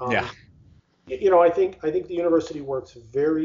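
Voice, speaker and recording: A man's voice is somewhat breathy, and his pitch varies in an ordinary way. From Pittsburgh, Pennsylvania. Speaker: university research executive, physicist. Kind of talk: interview.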